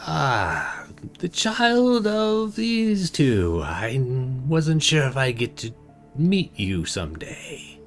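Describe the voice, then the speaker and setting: Clear music plays behind a man doing a raspy, put-on character voice, very slow, fairly high-pitched, with very wide pitch swings. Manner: ominous, chilling.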